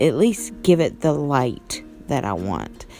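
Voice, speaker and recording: Music can be heard in the background. A woman talks with an American accent. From West Virginia. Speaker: painter. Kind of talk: casual voice-over narration of painting video.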